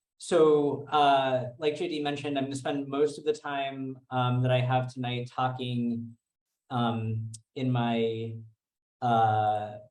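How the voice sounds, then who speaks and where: Audible room echo surrounds a man speaking at a very slow pace, at a medium pitch, with fairly even intonation. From New York. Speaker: physician and researcher. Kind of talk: lecture. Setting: video call from office.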